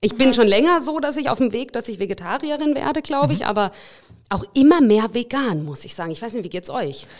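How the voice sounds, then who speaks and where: A woman with fairly high pitch and vocal fry talks at a fairly quick pace, her pitch swinging very widely and her loudness rising and falling sharply. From Russia. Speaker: podcast host for a bank. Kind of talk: casual chat.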